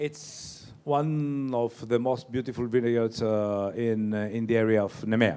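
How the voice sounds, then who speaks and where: With a Greek accent, a man talks at a fairly slow pace but with hardly any pauses. His pitch is medium and his intonation fairly even. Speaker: winemaker. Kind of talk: wine seminar talk. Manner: halting.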